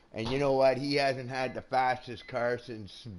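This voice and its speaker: Someone with a Canadian accent speaks at a fairly slow pace. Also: man. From Canada. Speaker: gaming live streamer. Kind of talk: casual live commentary. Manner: chatty, hesitant with fillers.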